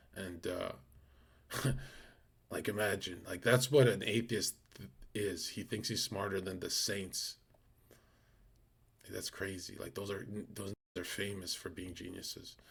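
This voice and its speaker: Somewhat breathy and fairly low in pitch, a man speaks at a fairly slow pace with long, frequent pauses and big swings in loudness. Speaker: live streamer. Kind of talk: casual live-stream chat. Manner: speaking in a lower voice.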